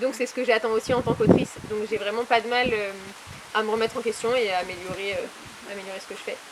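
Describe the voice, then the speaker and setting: Very fast, fairly high-pitched woman's voice with fairly even intonation and big swings in loudness, over noticeable background noise. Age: 20s. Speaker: author and publisher. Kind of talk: interview.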